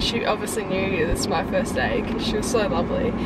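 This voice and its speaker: Loud background noise surrounds a woman speaking at a moderate pace. The sound itself is dry with no echo. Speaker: vlogger. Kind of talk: casual vlog chat. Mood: amused, animated storytelling. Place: car. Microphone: phone near.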